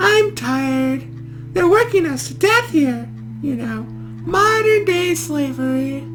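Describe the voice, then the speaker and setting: Over loud background music, someone delivers lines in a put-on character voice at a fairly slow pace. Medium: game stream. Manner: talkative, rambling.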